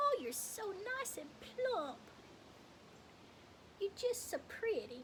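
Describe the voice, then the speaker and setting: An extremely high, squeaky put-on character voice from a woman, very slow with long, frequent pauses and very wide pitch swings, over clear background noise. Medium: stage play. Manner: sweet, doting.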